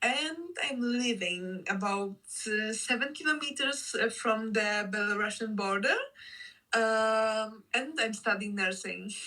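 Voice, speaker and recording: Bright and sharp in tone, a woman with fairly high pitch talks at a fairly slow pace with ordinary pitch variation. Her loudness stays very even, with audible room echo. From Poland. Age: 20s. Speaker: activist and nursing student. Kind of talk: interview.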